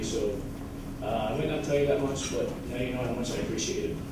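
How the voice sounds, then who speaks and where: Amid loud background noise and audible room echo, a man speaks at a very fast pace. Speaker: junior hockey player. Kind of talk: farewell banquet speech. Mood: emotional, grateful. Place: hall.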